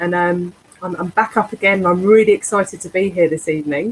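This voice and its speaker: This woman talks fairly quickly with a London accent. Her pitch is medium, with ordinary variation. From North London, England. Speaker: teacher and senior school leader. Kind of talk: panel discussion.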